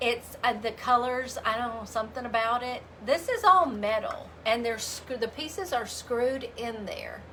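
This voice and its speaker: Speaking in a Southern US accent, a woman has a high pitch, an animated tone and ordinary pitch variation. She keeps a moderate pace with hardly any pauses, over noticeable background noise. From US South, Memphis, Tennessee. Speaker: craft painter and livestream host. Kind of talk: casual livestream chat and craft demo. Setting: live video stream.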